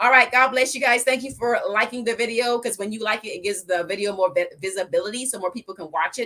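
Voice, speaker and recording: Talking at a very fast pace with hardly any pauses, a woman uses a fairly high pitch. Her pitch variation is ordinary. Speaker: financial advisor. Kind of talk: live stream Q&A. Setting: livestream.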